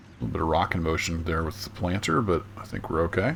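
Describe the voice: A man talks at a fairly quick pace, his low pitch paired with a fairly bright tone.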